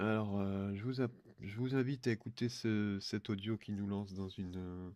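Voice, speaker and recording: At a moderate pace, a man with a fairly low pitch speaks in a dark, mellow tone with fairly even intonation. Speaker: religious commentator. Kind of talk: audio talk on religious eschatology. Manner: halting, many filler hesitations.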